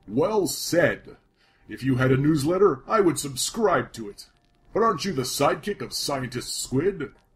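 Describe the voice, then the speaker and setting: The voice belongs to a man. He speaks at a fairly high pitch and a moderate pace. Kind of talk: comic overacting. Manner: pompous, boastful, breezy.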